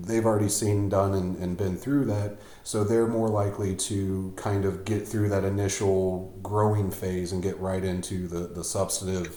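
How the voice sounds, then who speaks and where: A man's very deep, low voice at a moderate pace, with audible room echo. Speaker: podcast host. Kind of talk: casual interview chat. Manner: hesitant, many fillers and repeats; mumbles at times.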